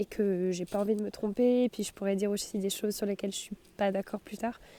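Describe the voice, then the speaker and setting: The sound is dry and close, with no echo at all. Words come at a fairly quick pace. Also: woman. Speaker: student vlogger. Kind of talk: casual vlog chat. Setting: outdoors in snow. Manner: halting.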